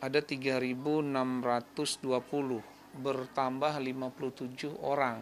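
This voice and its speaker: Light background noise can be heard. Over it, a man is talking. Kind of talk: interview answer. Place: office. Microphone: handheld.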